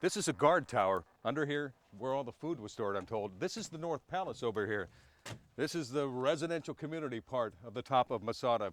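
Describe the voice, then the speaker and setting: A man's medium-pitched voice with lively intonation, an ordinary speaking voice. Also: fairly quick pace. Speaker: TV news reporter. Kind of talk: live field news report.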